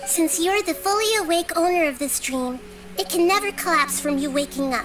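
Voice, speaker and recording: A female-sounding, put-on character voice speaks at a moderate pace. Clear music plays in the background. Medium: fan dub. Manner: calm, measured, reasoning.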